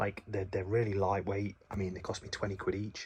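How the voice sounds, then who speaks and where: A quiet, somewhat breathy man at a fairly low pitch. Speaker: gaming vlogger. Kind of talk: casual vlog. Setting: at home.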